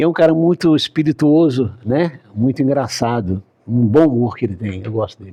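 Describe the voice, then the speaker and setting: Dark and mellow in tone, the voice moves with lively intonation. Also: man, medium pitch for a man, moderate pace. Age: 70s. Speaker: city councillor and doctor. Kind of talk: interview.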